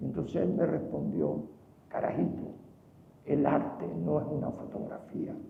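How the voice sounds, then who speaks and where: Very deep and low, a man's voice makes very wide pitch swings between long, frequent pauses. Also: fairly slow pace. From Venezuela, Caracas. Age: 80s+. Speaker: painter. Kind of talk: award acceptance speech.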